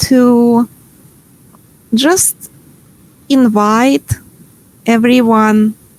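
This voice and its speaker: The recording is dry and close with no echo, carrying a high-pitched woman's voice with a Ukrainian accent. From Ukraine. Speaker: workshop facilitator. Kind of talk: online workshop presentation. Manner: hesitant, many fillers.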